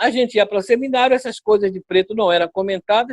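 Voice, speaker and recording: Fairly quick and high-pitched, a man's voice comes through. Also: dry, close sound with no echo. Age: 60s. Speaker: pastor. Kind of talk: interview.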